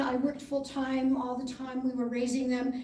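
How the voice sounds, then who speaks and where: A woman's high-pitched voice with a dark, mellow tone, at a moderate pace, with audible room echo. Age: 70s. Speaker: political candidate. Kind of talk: debate opening statement.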